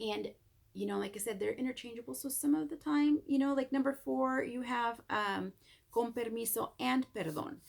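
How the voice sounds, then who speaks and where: The woman talks at a moderate speed. She has a Spanish accent. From Mexico. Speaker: Spanish teacher. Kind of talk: recorded lesson for students. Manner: casual, with hesitations.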